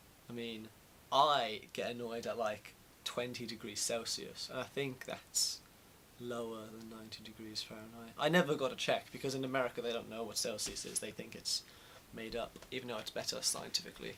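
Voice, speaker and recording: At a fairly quick pace, a man with a British accent speaks at medium pitch. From UK. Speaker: vlogger. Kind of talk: casual chat. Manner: animated.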